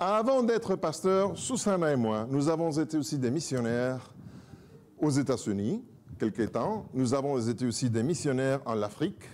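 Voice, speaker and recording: A man's fairly high voice in a strong Spanish accent, at a fairly slow pace with very wide pitch swings. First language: Spanish (speaking French). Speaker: pastor and church director. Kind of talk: self-introduction to congregation.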